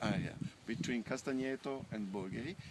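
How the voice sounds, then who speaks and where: A man speaks in an Italian accent. His pitch sits in the medium range. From northern Italy. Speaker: winemaker. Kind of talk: guided tour explanation. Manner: halting, many fillers.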